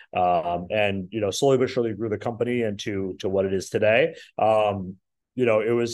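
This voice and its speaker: Speaking in an American accent, this man has a fairly low voice. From Minnesota. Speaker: company president. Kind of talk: interview. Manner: halting, many fillers.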